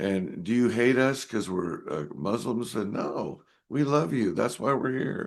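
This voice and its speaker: The speech comes at a fairly slow pace with vocal fry. Pitch swings are very wide. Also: man, medium pitch for a man. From US Pacific Northwest, Seattle. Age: 70s. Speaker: trumpet player and music missionary. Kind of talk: interview conversation. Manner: halting, many fillers and restarts.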